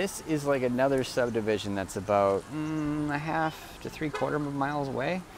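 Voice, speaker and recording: Speaking with an American accent, a man uses lively intonation at a moderate pace with hardly any pauses. The sound is dry with no echo, though noticeable background noise is present. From United States. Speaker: vlogger. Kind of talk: casual vlog narration. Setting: outdoors, walking around town. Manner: halting, many fillers and repeats. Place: street. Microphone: earbuds.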